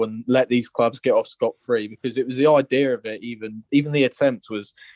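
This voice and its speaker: A man talks at a medium pitch in a Liverpool accent. He goes at a fairly quick pace, in a dry, close sound with no echo. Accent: Scouse. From Liverpool, England. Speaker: football fan caller. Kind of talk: phone-in opinion. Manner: passionate.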